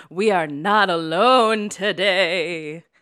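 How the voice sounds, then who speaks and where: This is a put-on character voice. The pitch sits in the middle range. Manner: spooky, ominous.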